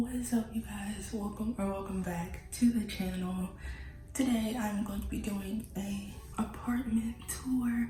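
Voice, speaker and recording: Music plays in the background and a room echo is audible as a woman speaks quietly at a fairly slow pace. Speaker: lifestyle vlogger. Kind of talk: casual home tour vlog. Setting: indoors, apartment. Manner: quiet, hushed. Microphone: echo in the room.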